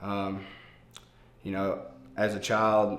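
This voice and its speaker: Audible room echo surrounds this recording. A man speaks in a Mississippi accent. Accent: Southern US (Mississippi). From US South, Meridian, Mississippi. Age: 30s. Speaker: recovering addict sharing testimony. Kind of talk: testimony. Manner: hesitant, many fillers.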